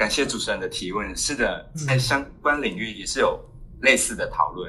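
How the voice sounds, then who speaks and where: A man talks at an even, moderate speed while background noise remains noticeable. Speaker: cultural anthropology researcher. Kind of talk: interview. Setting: international remote call. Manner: halting.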